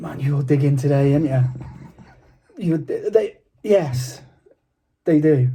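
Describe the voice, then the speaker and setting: Long, frequent pauses break up a fairly slow delivery. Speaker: football podcast co-host. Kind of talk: casual chat.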